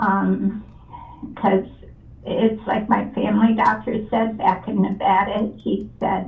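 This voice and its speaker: The speaker is a woman, and audible room echo fills the recording. She speaks very slowly. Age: 60s. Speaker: home seller. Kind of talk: phone conversation. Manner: halting.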